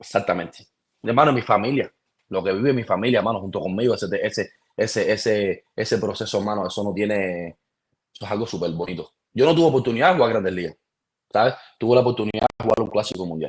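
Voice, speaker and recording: A man speaks very fast with a Cuban accent, his fairly low pitch showing ordinary variation. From Cuba, Mayabeque. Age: 30s. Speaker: professional baseball pitcher. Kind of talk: casual interview chat. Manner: animated.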